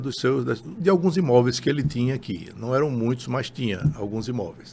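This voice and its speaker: Lively in intonation and medium in pitch, the man has an unremarkable speaking voice. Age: 60s. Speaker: real estate broker. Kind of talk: interview.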